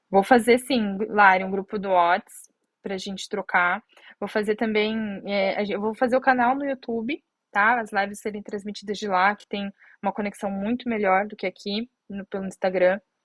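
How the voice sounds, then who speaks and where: Her loudness swings widely as a woman speaks at a moderate pace and medium pitch with fairly even intonation. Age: 30s. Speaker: diabetes content creator. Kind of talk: live stream Q&A. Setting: Instagram live stream. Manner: halting, many fillers. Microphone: connection problems, stream lagging.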